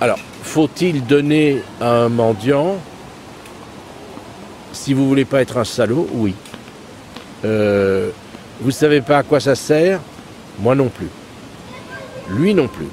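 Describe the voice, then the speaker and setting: A man at medium pitch talks very slowly with long, frequent pauses, lively intonation and big swings in loudness. Noticeable background noise is present. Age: 60s. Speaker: interviewee, philosophy background. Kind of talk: interview. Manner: hesitant.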